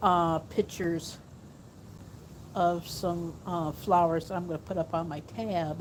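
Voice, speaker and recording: At a fairly slow pace, a woman speaks with fairly even intonation and long, frequent pauses. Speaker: vlogger. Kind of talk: casual vlog. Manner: soft-spoken, talking low; halting, many fillers.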